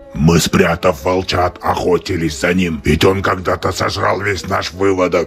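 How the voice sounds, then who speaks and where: Growling in a cartoonish character voice, a man speaks at a moderate pace with very deep, low pitch while clear music plays in the background. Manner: calm.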